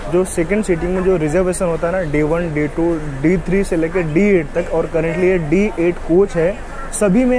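Noticeable background noise sits under this recording. A man with a high pitch talks in a flat, monotone way. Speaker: travel vlogger. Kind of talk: casual vlog chat. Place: train. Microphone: phone near.

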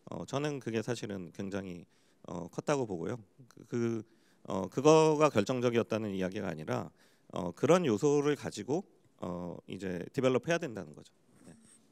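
A man with an ordinary speaking voice and fairly low pitch talks at a moderate pace. His loudness swings widely against a quiet background. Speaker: startup forum head; panelist. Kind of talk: panel discussion. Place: hall. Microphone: handheld.

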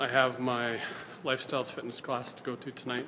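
A man talks in a monotone, flat intonation against noticeable background noise. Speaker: vlogger. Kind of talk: casual vlog chat. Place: hall. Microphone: phone near.

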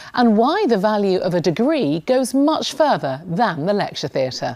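A woman speaks at a medium pitch and fairly slow pace, with very wide pitch swings and vocal fry. The recording is very clean, with a silent background. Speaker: newsreader. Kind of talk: TV programme presenting.

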